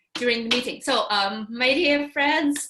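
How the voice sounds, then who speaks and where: A woman with a high pitch talks at a moderate pace. Her tone is bright and sharp, with ordinary pitch variation. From Russia. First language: Russian. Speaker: English teacher. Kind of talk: online workshop introduction. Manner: halting.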